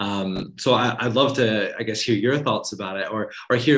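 A man speaks in a normal speaking voice at a medium pitch. He keeps a moderate pace with ordinary pitch variation. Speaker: podcast host. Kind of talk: casual interview conversation. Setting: video call.

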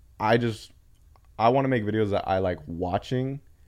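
A man talks at a moderate pace and medium pitch. His is a plain, everyday voice with ordinary pitch variation. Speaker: skateboarder and video creator. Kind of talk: casual chat.

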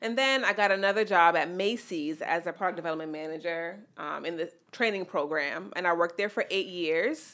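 With a New York accent, a woman talks at a fairly quick pace, hardly pausing. Her fairly low voice has a bright, sharp tone and ordinary pitch variation over a very clean recording with a silent background. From New York, the Bronx. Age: 30s. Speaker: fashion designer. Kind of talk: casual chat.

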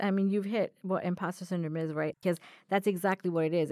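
On a very clean recording with a silent background, a woman speaks at a medium pitch with fairly even intonation in a plain, everyday voice. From US, moved from India at nine. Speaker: diversity and inclusion specialist, new co-host. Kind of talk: casual chat. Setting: studio.

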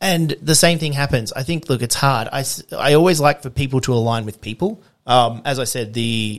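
A man with an Australian accent, ordinary pitch variation and a fairly quick pace, on a very clean recording with a silent background. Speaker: coffee roaster and competition barista. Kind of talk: casual interview. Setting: home studio, face-to-face.

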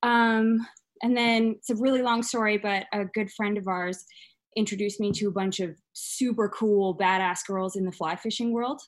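With a normal speaking voice, a woman talks at a moderate pace and a fairly high pitch against a quiet background. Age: 20s. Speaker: painter. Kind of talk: casual interview chat.

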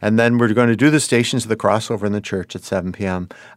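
In a Western New York accent, a man speaks at a fairly low pitch with ordinary pitch variation on a very clean recording with a silent background. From US, Buffalo, New York. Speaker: priest. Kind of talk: casual interview. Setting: studio.

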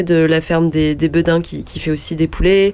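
Amid noticeable background noise, a woman speaks at a fairly quick pace in a fairly low voice with monotone, flat intonation. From Burgundy, France (Yonne). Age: 20s. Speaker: shop owner. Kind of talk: radio interview. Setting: studio.

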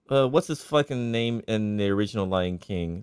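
In a plain, everyday voice, a man speaks at a moderate pace with a fairly low pitch and lively intonation. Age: 30s. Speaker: tech support worker and guitarist. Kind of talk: casual chat.

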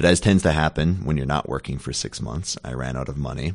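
Very deep, low pitch from a man, in an American accent. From Minnesota. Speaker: company marketing executive. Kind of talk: interview. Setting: company office. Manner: halting, repeats words.

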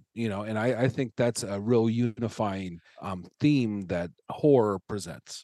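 A man with a Midwestern American accent speaks at a fairly slow pace in a fairly low voice with a dark, mellow tone and ordinary pitch variation. The sound is dry and close with no echo. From Nebraska. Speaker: stand-up comedian. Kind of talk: casual chat. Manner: halting.

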